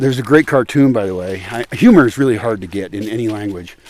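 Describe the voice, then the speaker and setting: A man speaks at a moderate pace with an American accent. His pitch varies in an ordinary way. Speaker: former English as a second language teacher. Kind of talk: casual talk to camera while walking outdoors. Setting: outdoors.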